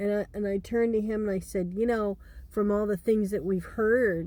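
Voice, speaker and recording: A woman speaks at medium pitch with fairly even intonation. Her tone is dark and mellow. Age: 60s. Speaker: storyteller. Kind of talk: casual storytelling. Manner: halting, many fillers and restarts.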